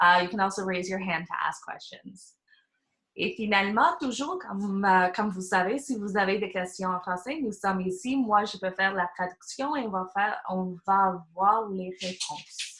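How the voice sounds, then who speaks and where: This woman has an ordinary speaking voice at medium pitch. She talks at a moderate pace with ordinary pitch variation. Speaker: webinar moderator. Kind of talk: webinar introduction. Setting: video call.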